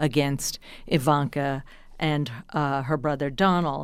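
A woman with an American accent speaks in a very deep, low pitch on a very clean recording with a silent background. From New Jersey. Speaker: journalist and author. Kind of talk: interview.

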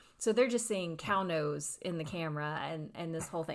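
The speaker has a Tennessee accent and ordinary pitch variation. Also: woman. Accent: US Southern, Tennessee. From East Tennessee, McMinn County. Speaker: movie theater manager. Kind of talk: interview.

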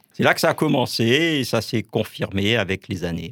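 A man with a medium-pitched voice speaks at a fairly slow pace. His pitch swings very widely in a very clean recording with a silent background. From Alsace, France. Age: 50s. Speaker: Protestant pastor. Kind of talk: radio interview; sermon. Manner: halting.

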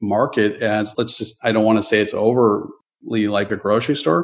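A man with an American accent and a plain, everyday voice, medium in pitch, his intonation fairly even, against a quiet background. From US Midwest, Chicago area. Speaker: real estate investor and architect. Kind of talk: interview.

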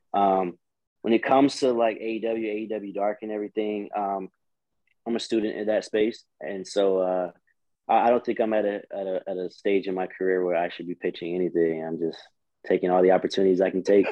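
Fairly quick talk from a man, fairly low in pitch, with fairly even intonation. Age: 20s. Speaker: pro wrestler. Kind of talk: interview. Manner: halting.

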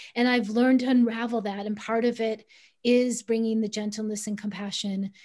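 A woman talks at a fairly quick pace in an ordinary speaking voice. Her pitch is fairly high and her intonation fairly even. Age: 50s. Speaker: author and money therapist. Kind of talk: interview.

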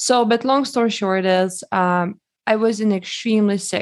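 In a Lithuanian accent, a woman speaks at a moderate pace with fairly even intonation, captured in a very clean recording with a silent background. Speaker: holistic health expert. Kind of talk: interview.

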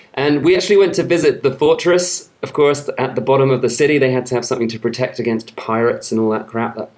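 There is noticeable background noise. Over it a man talks at a very fast pace with ordinary pitch variation. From Somerset, England. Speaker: travel podcast host. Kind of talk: casual chat. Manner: animated, humorous.

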